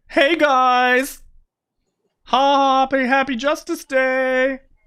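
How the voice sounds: The put-on character voice is high-pitched and very slow. Its intonation stays monotone and flat.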